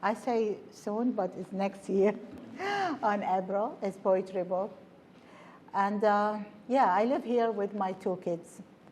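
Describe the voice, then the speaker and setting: In an Arabic accent, a woman talks very slowly at medium pitch. Her intonation is fairly even, with long, frequent pauses. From Iraq. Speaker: poet and author. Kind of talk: author talk before reading.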